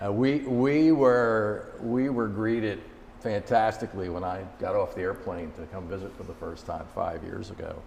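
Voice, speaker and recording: A man with a New Jersey accent speaks at a moderate pace and a medium pitch with ordinary pitch variation. His loudness swings widely, and room echo is audible. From US Northeast, Jersey City, New Jersey. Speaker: company executive. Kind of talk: interview.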